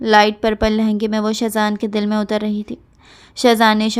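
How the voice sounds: The clip features a natural reading voice.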